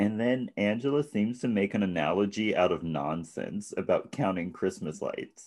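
At a moderate pace, a man talks with a fairly low pitch, ordinary pitch variation and an unremarkable speaking voice over a quiet background. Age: 20s. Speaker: podcast co-host. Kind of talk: casual chat.

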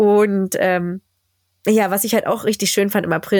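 A woman with a normal speaking voice. She talks at a moderate pace in a medium pitch. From Berlin, Germany. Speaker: teacher and podcast host. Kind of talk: casual chat.

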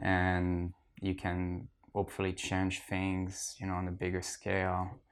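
A man with a French accent speaks at a very deep, low pitch and a fairly slow pace in a monotone, flat intonation, recorded very cleanly against a silent background. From France. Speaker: archaeologist. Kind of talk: casual interview. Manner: hesitant, many fillers.

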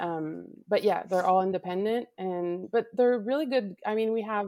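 Ordinary pitch variation in a woman's medium-pitched voice. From Quebec, Canada (Laval). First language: French. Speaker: color guard director. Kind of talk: casual chat. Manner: halting, searches for words.

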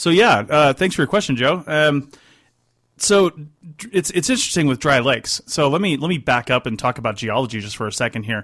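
A man with an unremarkable speaking voice talks at a fairly quick pace with a fairly high pitch and lively intonation, in a dry, close sound with no echo. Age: 40s. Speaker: radio host and contract archaeologist. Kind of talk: call-in radio show. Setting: radio studio.

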